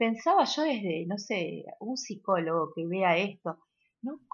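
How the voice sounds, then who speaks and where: A woman speaks at medium pitch with lively intonation. Her pace is very slow. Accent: Rosario. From Argentina, Rosario. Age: 30s. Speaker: actress and theatre school director. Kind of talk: interview. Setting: remote recording.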